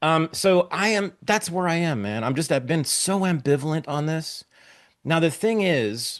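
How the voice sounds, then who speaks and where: A man with an American accent speaks at a moderate pace in a fairly high pitch, his tone animated and his intonation lively, against a quiet background. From US West Coast, Berkeley, California. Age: 60s. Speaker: podcast host. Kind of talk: casual interview chat.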